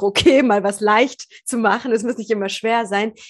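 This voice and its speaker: A woman's plain, everyday voice, fairly high in pitch, with ordinary pitch variation. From Germany, Persian family. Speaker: podcast host. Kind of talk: casual interview.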